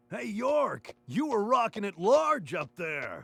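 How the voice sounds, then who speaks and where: In a drawling put-on character voice, a man speaks at a high pitch and a fairly slow pace with very wide pitch swings. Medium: video game. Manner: slangy, drawling, says man and dude.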